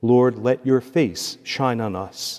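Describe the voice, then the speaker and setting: The tone is dark and mellow at a fairly slow pace. The background stays quiet. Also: man. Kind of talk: liturgy and homily. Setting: church. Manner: formal. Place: church. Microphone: podium.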